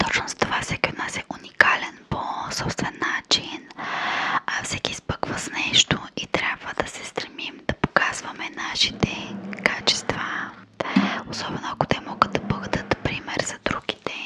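A woman whispering at a fairly slow pace, with big swings in loudness. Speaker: ASMR creator. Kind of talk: soft-spoken motivational ASMR talk. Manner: soft close-mic ASMR voice. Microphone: studio mic.

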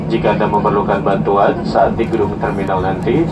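A man talks at a fairly quick pace. Loud background noise runs throughout. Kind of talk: in-flight announcement. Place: plane.

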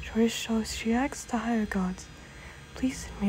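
Someone's plain reading aloud

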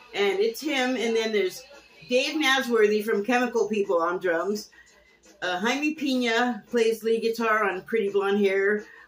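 A woman at a fairly slow pace with ordinary pitch variation, music playing in the background. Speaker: TV critic vlogger. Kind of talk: casual vlog chat. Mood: cheerful, nostalgic. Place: home room. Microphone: webcam.

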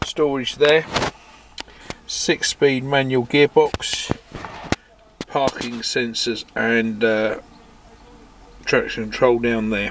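The speech is very slow, broken by long, frequent pauses, with a dry sound with no echo and noticeable background noise. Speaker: car salesman. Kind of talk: sales walkaround commentary. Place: car. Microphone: phone near.

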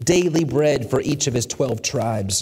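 Against a quiet background, a man speaks somewhat breathily at a fairly slow pace, his fairly high pitch moving with lively intonation. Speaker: preacher, church sermon speaker. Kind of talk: sermon, teaching lesson. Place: church. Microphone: headset.

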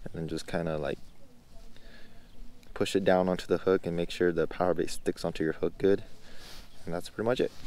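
The sound here is dry with no echo. A man with a very deep, low voice talks at a fairly quick pace with fairly even intonation. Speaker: angler vlogger. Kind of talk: tutorial. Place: waterside. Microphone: phone near.

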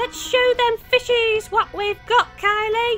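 A put-on, squeaky character voice sits at an extremely high pitch with monotone, flat intonation and a fairly slow pace. Clear music plays in the background. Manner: playful, jokey.

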